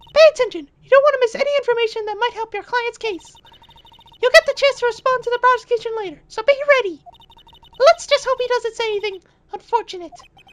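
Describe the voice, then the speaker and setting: Putting on a squeaky character voice at an extremely high pitch, a man talks at a very fast pace with long, frequent pauses. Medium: game stream. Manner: coaching, patient.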